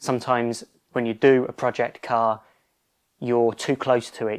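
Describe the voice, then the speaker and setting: Speaking at a fairly slow pace, a man with a British accent holds a medium pitch. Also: very clean recording, silent background. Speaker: car restoration youtuber. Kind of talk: casual workshop vlog. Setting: home garage.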